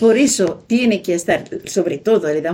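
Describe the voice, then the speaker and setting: Her voice has a dark, mellow tone, somewhat breathy and medium in pitch. The woman speaks at a moderate pace with lively intonation. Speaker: retired teacher and scholar of a saint. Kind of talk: radio interview. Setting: at her home.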